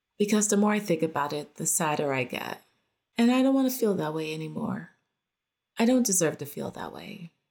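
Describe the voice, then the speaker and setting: A woman's voice with big swings in loudness and very wide pitch swings. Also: medium pitch for a woman, fairly quick pace. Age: 40s. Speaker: podcast host and photographer. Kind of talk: personal monologue. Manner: casual, conversational.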